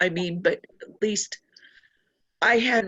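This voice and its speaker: Speaking at a very slow pace, the voice is somewhat breathy with fairly even intonation. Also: woman. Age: 60s. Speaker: workshop participant. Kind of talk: personal sharing on group call.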